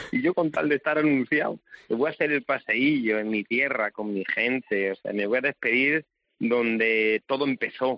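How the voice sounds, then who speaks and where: The man talks at a moderate pace in a medium-pitched voice with ordinary pitch variation. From Spain, Salamanca province. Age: 40s. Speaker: bullfighter. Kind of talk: interview. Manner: halting.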